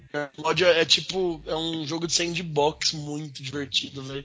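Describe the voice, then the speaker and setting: There is noticeable background noise as a man talks at a moderate pace. His pitch is fairly high, with fairly even intonation. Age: 20s. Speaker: gamer. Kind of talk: casual chat.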